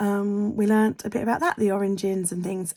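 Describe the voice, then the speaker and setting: In a very clean recording with a silent background, a woman with an English accent speaks at medium pitch and a moderate pace in a dark, mellow tone. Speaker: vlogger. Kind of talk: casual vlog talk. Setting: at home at her desk. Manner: hesitant, lots of ums; whispering.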